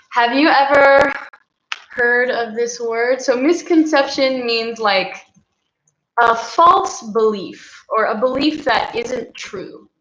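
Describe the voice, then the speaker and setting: With an American accent, a woman speaks very slowly at high pitch. Her intonation is lively, and room echo is audible. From Texas. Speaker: English teacher. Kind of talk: casual chat. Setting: live stream.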